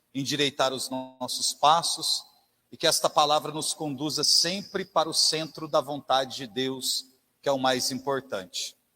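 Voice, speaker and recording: With music in the background, a man speaks slowly-ish at a fairly slow pace, his fairly high voice holding a fairly even intonation. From interior of São Paulo state, Brazil. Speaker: lay preacher. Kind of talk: sermon. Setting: church.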